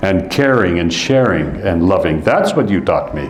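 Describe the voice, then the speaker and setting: There is audible room echo and noticeable background noise. A man with a Canadian accent talks with very wide pitch swings. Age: 70s. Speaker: Sikh preacher. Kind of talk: sermon. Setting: gurdwara congregation.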